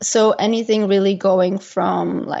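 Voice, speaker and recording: A woman with a Dutch accent speaks in a monotone with flat intonation. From Belgium. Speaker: travel blogger. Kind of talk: interview.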